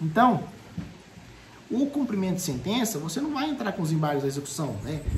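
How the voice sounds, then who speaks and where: Fairly quick speech comes through noticeable background noise. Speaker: law professor. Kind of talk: lecture. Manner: fast; animated.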